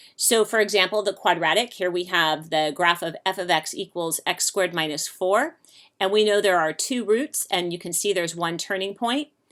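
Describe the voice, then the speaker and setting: A woman and an ordinary speaking voice, pitched in the middle of her range, with a moderate pace and ordinary pitch variation. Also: very clean recording, silent background. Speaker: math teacher. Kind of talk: lecture.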